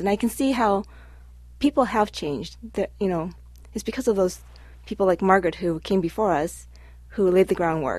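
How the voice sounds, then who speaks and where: A woman with a Midwestern accent at a fairly quick pace. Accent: American Midwest. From Cleveland, Ohio. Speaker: community organization president. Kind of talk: casual radio chat. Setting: radio studio.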